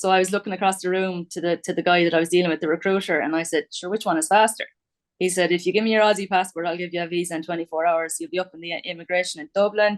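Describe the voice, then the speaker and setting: A woman speaks very fast with an Irish accent, her fairly low pitch held in a monotone, flat intonation. The sound is dry and close, with no echo. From Ireland. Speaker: quantity surveyor. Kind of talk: casual interview.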